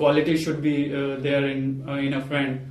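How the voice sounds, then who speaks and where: With music in the background, a man talks at a moderate pace in a fairly high pitch, monotone and flat. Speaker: English language student. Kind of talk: mock exam interview answer. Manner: hesitant, nervous, many fillers.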